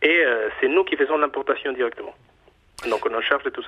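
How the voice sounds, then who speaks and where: Through noticeable background noise, a man with a Mexican accent speaks with ordinary pitch variation. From Mexico. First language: Spanish (speaking French). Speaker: chocolate bar owner. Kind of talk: radio interview. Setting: phone call. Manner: halting.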